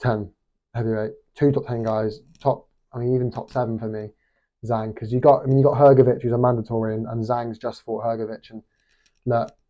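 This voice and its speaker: With a British accent, a man of medium pitch talks at a moderate pace, his intonation fairly even, his loudness swinging widely and his pauses long and frequent. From Britain. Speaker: boxing commentator youtuber. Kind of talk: casual opinion vlog. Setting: hostel room. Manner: halting, many fillers.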